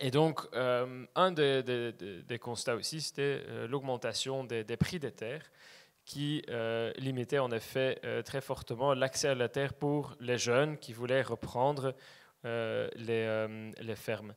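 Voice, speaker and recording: Very slowly, a man speaks at medium pitch with fairly even intonation. The recording is very clean, with a silent background. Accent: Flemish. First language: Dutch (speaking French). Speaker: land access cooperative representative. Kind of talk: presentation talk. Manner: hesitant, many fillers.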